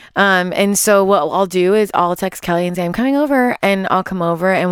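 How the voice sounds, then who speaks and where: A woman with an American accent talks at a fairly quick pace in a fairly low voice with ordinary pitch variation, on a very clean recording with a silent background. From Los Angeles, US West Coast. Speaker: guest mother sharing birth story. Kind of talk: casual interview chat. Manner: halting, many fillers.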